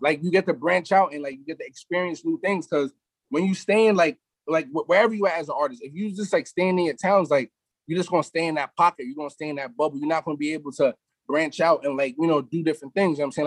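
A man at a very fast pace, fairly high pitch with ordinary pitch variation, big swings in loudness, dry, close sound with no echo. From New York, South Side Queens. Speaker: rapper. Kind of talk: casual interview.

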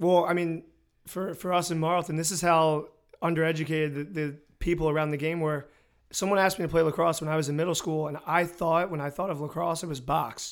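This man has a normal speaking voice, fairly high in pitch, with an American accent. He talks at a fairly quick pace with fairly even intonation. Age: 20s. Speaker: podcast host, lacrosse coach. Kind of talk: casual chat; scripted narration.

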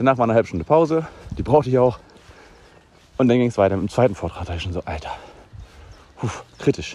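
A man at medium pitch, very fast and with lively intonation, broken by long, frequent pauses. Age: 40s. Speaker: podcast host and teacher. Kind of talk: casual solo podcast monologue.

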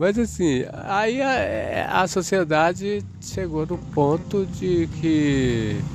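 Against noticeable background noise, a man talks very slowly with hardly any pauses. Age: 60s. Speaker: actor and theatre director. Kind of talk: casual interview.

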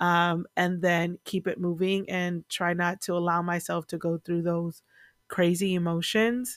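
Here is a woman with a normal speaking voice at a medium pitch and a fairly slow pace. The recording is very clean, with a silent background. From US, Virginia-born, Puerto Rican family. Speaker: podcast host. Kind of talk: casual solo podcast monologue.

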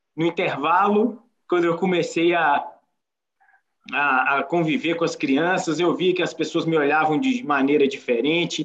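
Pitched high for a man, his voice moves at a moderate pace with lively intonation. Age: 30s. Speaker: visually impaired entrepreneur. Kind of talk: life story testimony.

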